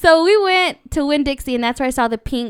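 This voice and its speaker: Animated in tone, a woman with an American accent speaks at a high pitch and a moderate pace on a very clean recording with a silent background. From Irvine, California. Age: 20s. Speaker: podcast co-host. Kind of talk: casual chat.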